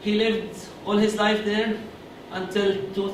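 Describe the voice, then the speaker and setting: A man speaks at a moderate pace with an Arabic accent. Audible room echo and noticeable background noise are present. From Gaza Strip, Palestine. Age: 20s. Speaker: student speaker. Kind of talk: public talk. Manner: halting.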